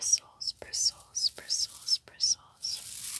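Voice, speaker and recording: A woman whispers at a very slow pace. Her tone is calm. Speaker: ASMR creator. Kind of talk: soft ASMR trigger words. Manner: soft-spoken, calm repetitive murmur. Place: home room. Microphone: phone near.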